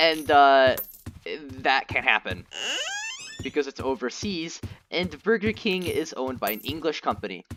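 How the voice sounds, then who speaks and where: Speech comes at a moderate pace. Noticeable background noise sits behind it. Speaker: gaming streamer. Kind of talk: casual chat. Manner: halting, stuttering; many filler words.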